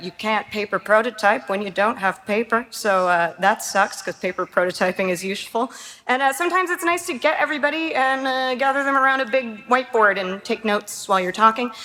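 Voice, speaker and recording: Speaking with a Canadian accent, a woman talks at a fairly quick pace with hardly any pauses. Her pitch is fairly high, her intonation is lively, and there is noticeable background noise. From Canada, Toronto. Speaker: game art director. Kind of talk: conference talk. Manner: casual, filler-heavy.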